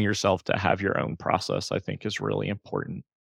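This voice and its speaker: A man speaks with vocal fry. The sound is dry and close with no echo, on a very clean recording with a silent background. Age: 30s. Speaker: therapist and private practice coach. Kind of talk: casual interview, personal story.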